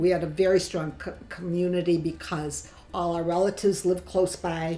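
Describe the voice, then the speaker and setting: With a Chicago accent, a woman speaks at a medium pitch while music plays in the background. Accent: Chicago American. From US Midwest, Chicago. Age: 70s. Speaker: grandmother interviewee. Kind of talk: oral history interview.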